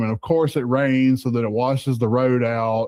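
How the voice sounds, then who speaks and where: Speaking with a Southern US accent, a man holds a medium pitch and moderate pace with monotone, flat intonation over a quiet background. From US South. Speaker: truck driver. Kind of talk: casual chat. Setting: studio. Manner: halting.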